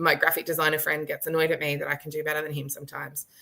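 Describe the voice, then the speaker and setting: A woman with an Australian accent, her tone bright, sharp and animated. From Australia, rural Victoria. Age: 30s. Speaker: author and visibility expert. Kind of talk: casual chat. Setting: live stream video call.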